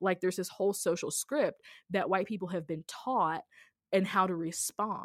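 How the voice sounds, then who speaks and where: Speaking at a moderate pace with ordinary pitch variation, a woman with an American accent has an ordinary speaking voice. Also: medium pitch for a woman. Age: 30s. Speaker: podcaster and anti-racism writer. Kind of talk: casual interview. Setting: remote recording.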